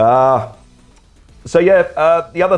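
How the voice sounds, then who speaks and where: This man speaks with an Australian accent. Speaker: brewery owner and brewer. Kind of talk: casual interview.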